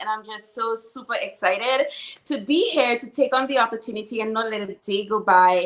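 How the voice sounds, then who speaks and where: A bright, sharp, animated tone in a Saint Lucian accent, at a moderate pace with ordinary pitch variation. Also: woman. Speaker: financial services entrepreneur. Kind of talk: interview.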